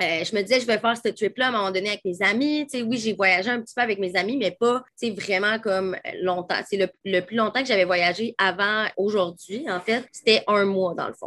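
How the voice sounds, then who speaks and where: A woman's bright, sharp tone carries ordinary pitch variation at a moderate pace, with hardly any pauses. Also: medium pitch for a woman. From Quebec City. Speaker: holistic coach. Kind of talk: casual interview chat. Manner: animated.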